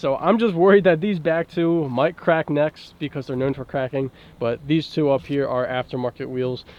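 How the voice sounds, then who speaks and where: A man talks at a moderate pace with hardly any pauses, in a normal speaking voice. His pitch is fairly high, with ordinary pitch variation. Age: 20s. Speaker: car vlogger. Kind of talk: casual vlog walkthrough.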